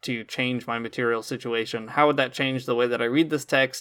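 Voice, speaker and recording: The man's bright, sharp tone and fairly even intonation come through on a very clean recording with a silent background. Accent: American. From US Midwest, rural Michigan. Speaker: podcast co-host. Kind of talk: casual chat.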